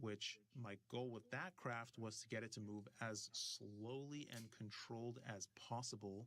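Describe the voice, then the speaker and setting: At a fairly slow pace, a man talks in a medium-pitched voice with a bright, sharp tone. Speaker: FPV drone builder and streamer. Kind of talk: scripted narration. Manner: stuttering at times.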